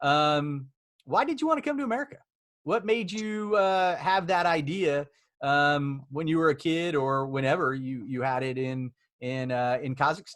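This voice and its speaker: Speaking with a slight Oklahoma accent, a man has a fairly high pitch and ordinary pitch variation. His pace is moderate, and the recording is very clean with a silent background. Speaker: immigration law firm CEO, interview host. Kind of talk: casual interview.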